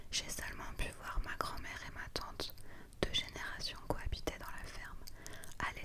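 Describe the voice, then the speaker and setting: Someone whispers in a calm tone at a moderate pace. Noticeable background noise is present. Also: woman. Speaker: ASMR content creator. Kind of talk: whispered book reading (ASMR). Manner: whispered, soft, calm.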